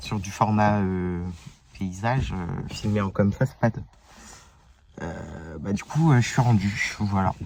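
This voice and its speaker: A man speaks at a very slow pace in a fairly low voice, with noticeable noise in the background. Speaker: vlogger. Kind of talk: casual vlog while driving. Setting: in a car. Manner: loud.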